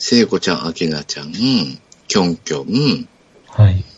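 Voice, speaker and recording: There is noticeable background noise as a man speaks in a relaxed tone at a fairly slow pace. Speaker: podcast host. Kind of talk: casual chat. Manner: laughs often, relaxed.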